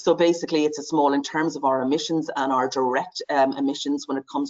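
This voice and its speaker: The speaker talks at a very fast pace. The accent is Irish. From Ireland. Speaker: advertising industry sustainability lead. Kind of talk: webinar presentation. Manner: many filler words and hesitations.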